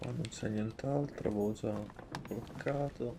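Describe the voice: A man with a medium pitch talks at a moderate pace with fairly even intonation.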